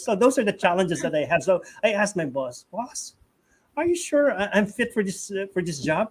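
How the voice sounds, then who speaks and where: A man speaks with a Filipino accent. His pace is fairly quick and his intonation lively. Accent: Filipino English with Tagalog code-switching. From Philippines. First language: Tagalog. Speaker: preacher. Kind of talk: interview. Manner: halting, repeats words.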